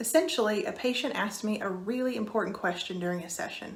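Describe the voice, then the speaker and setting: Lively intonation in a Kentucky accent at a fairly quick pace, with noticeable background noise and audible room echo. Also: woman. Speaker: psychiatrist. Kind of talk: scripted introduction.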